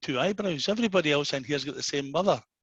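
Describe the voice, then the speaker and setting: A man with a Glaswegian accent talks at a very fast pace, his pitch swinging very widely. The sound is dry and close, with no echo. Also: quiet background. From Scotland, Glasgow. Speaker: after-dinner speaker. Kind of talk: after-dinner speech.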